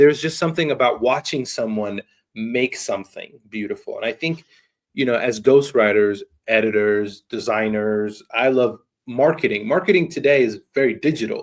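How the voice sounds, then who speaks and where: This man speaks at a moderate pace in a medium pitch, with ordinary pitch variation. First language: not English. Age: young. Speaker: podcast host. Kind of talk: interview conversation.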